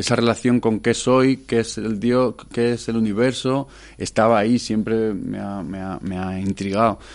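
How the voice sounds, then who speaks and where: An unremarkable speaking voice at a fairly slow pace, with fairly even intonation and a quiet background. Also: man, medium pitch for a man. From Madrid, Spain. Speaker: musician and producer. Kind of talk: radio interview.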